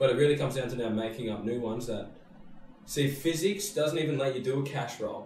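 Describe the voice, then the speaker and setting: A man's fairly high voice at a very fast pace, with ordinary pitch variation, audible room echo and light background noise. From Australia. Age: 20s. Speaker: podcast host, extreme sports rider. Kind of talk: casual chat. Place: studio.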